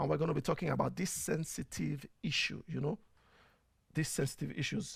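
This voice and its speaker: A man with a Nigerian accent talks at a fairly quick pace, with vocal fry in his voice. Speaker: talk show host and media producer. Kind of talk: casual talk show monologue. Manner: conversational, frequent fillers and repetitions.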